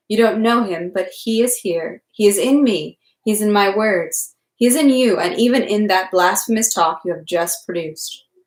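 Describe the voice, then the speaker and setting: A woman puts on a shaky character voice at medium pitch. She keeps a moderate pace. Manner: stern.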